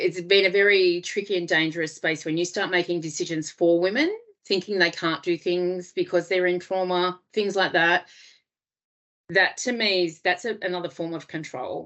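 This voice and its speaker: A woman talks with an Australian accent at a moderate pace. Her pitch is fairly low and her intonation fairly even. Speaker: domestic violence refuge worker. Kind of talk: webinar presentation. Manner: hesitant, many fillers.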